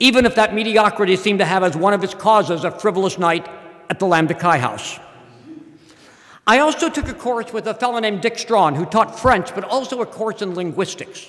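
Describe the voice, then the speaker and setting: This man talks fairly quickly in a high pitch with ordinary pitch variation. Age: 60s. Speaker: professor. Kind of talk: speech.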